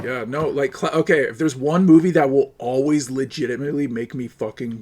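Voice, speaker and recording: A man speaks in a normal speaking voice, fairly high-pitched, at a fairly quick pace with ordinary pitch variation. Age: 30s. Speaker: streamer. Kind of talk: casual chat while gaming.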